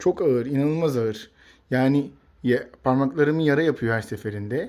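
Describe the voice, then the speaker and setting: A man's fairly high voice on a very clean recording with a silent background. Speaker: pet bird YouTuber. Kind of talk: casual vlog talk to camera. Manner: hesitant fillers; animated, exclamatory.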